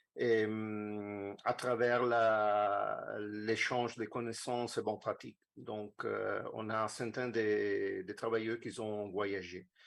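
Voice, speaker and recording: Speaking very slowly with fairly even intonation, a man with an Italian accent has a fairly low pitch. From Italy. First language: Italian (speaking French). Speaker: conference speaker, social project planner. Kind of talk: lecture presentation. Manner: halting, many hesitations. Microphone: remote connection, poor sound from room.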